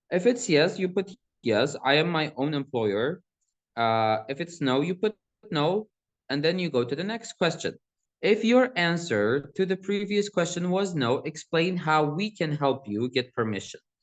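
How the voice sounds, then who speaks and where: At a moderate pace, a man speaks in a high pitch with very wide pitch swings. The sound is dry and close, with no echo. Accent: Kurdish. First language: Kurdish. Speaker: student presenter. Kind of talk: tutorial. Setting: university hall seminar. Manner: casual, conversational.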